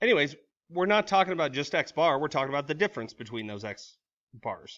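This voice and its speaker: This man's voice has a bright, sharp tone and sits at a fairly high pitch. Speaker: high school statistics teacher. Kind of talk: recorded lecture. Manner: fast; casual, informal.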